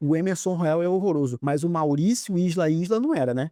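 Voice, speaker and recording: A man's dark, mellow tone sits at a fairly high pitch, with a dry, close sound and no echo. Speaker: football fan youtuber. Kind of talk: post-match commentary monologue. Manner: unscripted, fast-talking; animated, ranting.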